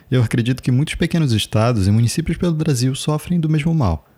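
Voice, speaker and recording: A man with a dark, mellow, somewhat breathy voice talks at a fairly quick pace with lively intonation. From Brazil, Macapá (Amapá). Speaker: podcast host, artist and chronicler. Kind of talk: scripted narration.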